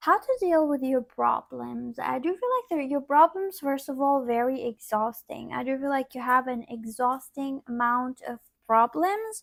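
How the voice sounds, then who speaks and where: A woman talks with a high pitch. Her intonation is lively. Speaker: tarot reader. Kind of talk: tarot reading to camera. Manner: quiet at times; casual, filler-heavy.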